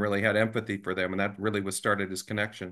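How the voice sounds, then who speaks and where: Against a quiet background, a man with an American accent talks in a bright, sharp tone and fairly even intonation. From Los Angeles. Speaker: author and sports reporter; sports reporter. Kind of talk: video call interview. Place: home room. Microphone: video call.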